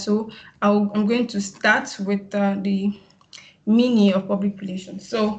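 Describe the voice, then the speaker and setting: A woman with a medium pitch speaks in a monotone, flat way with a somewhat breathy sound. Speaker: PR practitioner, summit speaker. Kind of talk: webinar presentation. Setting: video call. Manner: fast; halting, many fillers.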